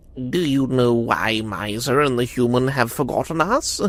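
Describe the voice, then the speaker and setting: A put-on character voice in a low-to-middle pitch moves at a moderate pace over light background noise. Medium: read story. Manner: worried, quiet.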